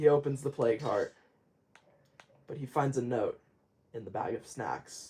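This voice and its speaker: Somewhat breathy and dark, mellow in tone, a man's voice sits at a fairly high pitch with ordinary pitch variation. He speaks at a moderate pace with long, frequent pauses. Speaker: gaming video narrator. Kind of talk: story narration over gameplay. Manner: some stuttering.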